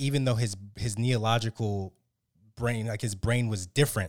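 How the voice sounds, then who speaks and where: A man with an American accent at medium pitch, fairly slow with long, frequent pauses and fairly even intonation, dry and close with no echo on a very clean recording with a silent background. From United States, Haitian family. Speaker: podcast host. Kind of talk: casual interview.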